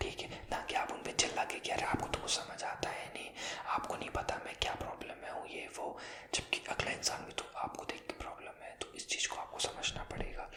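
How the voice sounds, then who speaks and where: Whispering at a moderate pace, a man is heard against noticeable background noise. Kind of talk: ASMR talk to camera. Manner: whispered.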